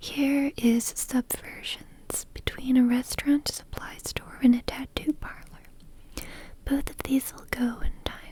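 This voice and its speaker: A woman whispers in a calm tone. Her pace is very slow. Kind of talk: soft book reading. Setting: home microphone recording. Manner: soft-spoken, calm, slow.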